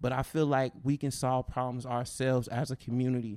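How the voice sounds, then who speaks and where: In a very clean recording with a silent background, a man speaks with an American accent. His dark, mellow tone holds a monotone, flat intonation. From US West Coast. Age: 40s. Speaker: rapper. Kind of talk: casual chat. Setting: studio.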